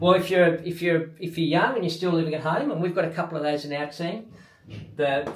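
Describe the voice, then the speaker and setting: A man's fairly high voice in an Australian accent, with audible room echo and noticeable background noise. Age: 60s. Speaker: triathlon coach and athlete. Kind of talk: video diary talk to camera. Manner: casual.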